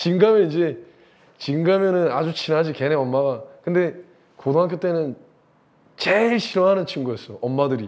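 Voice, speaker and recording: Animated in tone, a man talks at a moderate pace with a fairly high pitch. His intonation is lively, and he takes long, frequent pauses. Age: 50s. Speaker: English teacher. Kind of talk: casual storytelling lecture. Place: classroom. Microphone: lapel.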